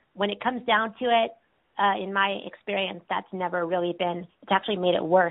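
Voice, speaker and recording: A woman's normal speaking voice with an American accent, fairly quick pace and fairly even intonation. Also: medium pitch for a woman. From California. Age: 20s. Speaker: podcast host, person in recovery. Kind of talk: casual interview chat.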